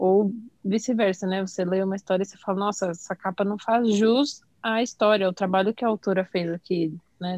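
The woman has an unremarkable speaking voice, medium in pitch with fairly even intonation and a moderate pace. The sound is dry and close, with no echo. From São Paulo, Brazil. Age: 20s. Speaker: graphic designer. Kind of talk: casual chat.

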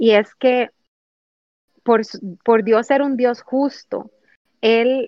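Very slow and fairly even in intonation, a woman speaks at a fairly high pitch in a dry, close sound with no echo. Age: 30s. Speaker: youth Bible study leader. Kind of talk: Bible study teaching. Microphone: phone mobile internet connection.

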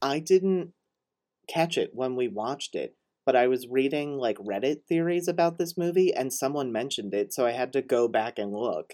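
With lively intonation at a moderate pace, a man with a fairly high-pitched, dark, mellow voice is heard in a dry, close sound with no echo. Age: 30s. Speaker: podcast host. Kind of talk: casual chat.

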